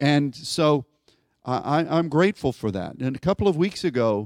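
In a plain, everyday voice, a man with an American accent talks at a fairly slow pace and fairly high pitch, on a very clean recording with a silent background and a dry, close sound with no echo. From US, Pittsburgh, Pennsylvania. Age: 60s. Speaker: pastor. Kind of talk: sermon. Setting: church.

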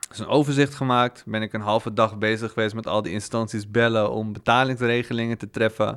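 The speaker is a man at medium pitch. He keeps a moderate pace. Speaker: podcast guest who was in debt. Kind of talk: casual interview. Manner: calm.

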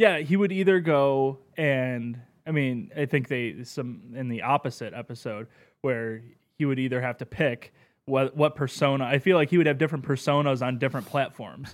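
At a moderate pace and medium pitch, a man with an American accent uses a normal speaking voice and ordinary pitch variation, captured in a very clean recording with a silent background. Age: 20s. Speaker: podcast guest. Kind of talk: casual chat.

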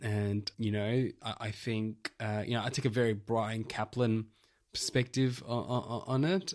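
A man with an Australian accent at medium pitch, speaking at a fairly slow pace. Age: 30s. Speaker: podcast host. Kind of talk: casual chat. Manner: animated.

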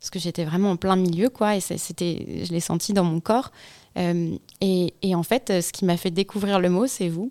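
A woman's fairly low, dark, mellow voice at a fairly slow pace, with fairly even intonation, on a very clean recording with a silent background. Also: dry, close sound with no echo. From Provence, southern France. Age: 30s. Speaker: podcaster. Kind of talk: radio interview.

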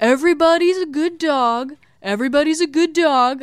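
A put-on character voice, high-pitched, moves at a moderate pace. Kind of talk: laid-back. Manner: relaxed, easygoing.

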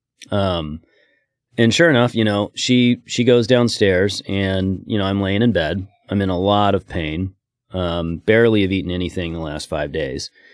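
A man's fairly low voice with an American accent, moderate pace and ordinary pitch variation, in a dry, close sound with no echo. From Oregon, US. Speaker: business owner. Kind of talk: interview testimony.

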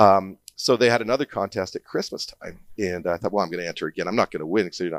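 The speech comes at a very fast pace, with a dry, close sound and no echo. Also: man, fairly low pitch for a man, ordinary pitch variation. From Alberta, Canada. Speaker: painter and arts event organizer. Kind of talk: interview conversation. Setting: studio. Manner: halting, many repeated words.

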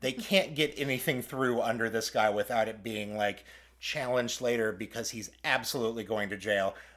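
This is a normal speaking voice at a moderate pace with ordinary pitch variation. The recording is very clean, with a silent background. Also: man, medium pitch for a man. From Kansas, US. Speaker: podcast host. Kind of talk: casual podcast chat.

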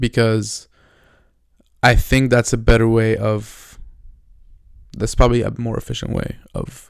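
A man with a non-native accent speaks fairly slowly at a medium pitch, leaving long, frequent pauses. His intonation is monotone and flat. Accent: noticeable non-native. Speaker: solo daily podcaster. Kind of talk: casual solo monologue, diary-style. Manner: hesitant, many fillers and restarts.

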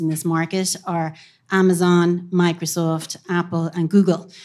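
In a Cork accent, a woman speaks fairly slowly at a fairly low pitch, her intonation monotone and flat. The recording is very clean, with a silent background. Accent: Cork Irish. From Cork, Ireland. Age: middle-aged. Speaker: tech company marketing executive. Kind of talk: live panel discussion. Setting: stage with audience.

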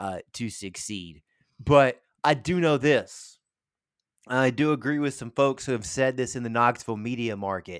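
Recorded very cleanly with a silent background, a man with an American accent speaks at a moderate pace and medium pitch. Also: ordinary pitch variation, big swings in loudness. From Tennessee. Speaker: radio sports show host. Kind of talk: casual chat. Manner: halting, many fillers.

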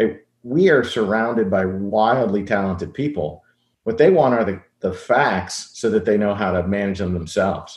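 A man speaks at a fairly low pitch in an ordinary speaking voice. His pace is moderate and his pitch variation ordinary. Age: 50s. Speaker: tech company CEO. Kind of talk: interview.

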